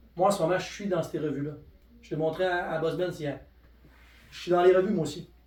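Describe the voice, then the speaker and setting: In a Quebec accent, a man with high pitch talks in an animated tone at a fairly quick pace amid audible room echo. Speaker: network marketing presenter. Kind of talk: sales pitch. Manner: fast.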